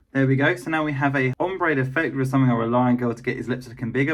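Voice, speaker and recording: In a British accent, the speaker talks at a very fast pace with an animated tone. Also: man, hardly any pauses. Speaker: beauty YouTuber. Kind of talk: makeup review vlog. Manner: talking quietly; chatty, animated.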